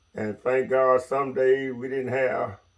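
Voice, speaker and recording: This man's voice sits at a medium pitch. He speaks at a fairly slow pace. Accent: Mississippi. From US South, Mississippi. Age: 70s. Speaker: retired logger. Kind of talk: interview.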